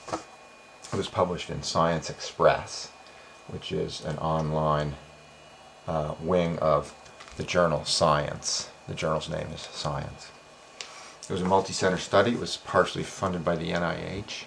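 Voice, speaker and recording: Soft-spoken, a man talks fairly slowly at a very deep, low pitch with fairly even intonation. Noticeable background noise is present. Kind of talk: explainer monologue. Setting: home office at night. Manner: hesitant fillers.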